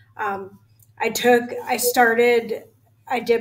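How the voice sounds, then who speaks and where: Music plays in the background while a woman talks. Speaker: guest. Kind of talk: interview answer. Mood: earnest, a little emotional. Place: home room.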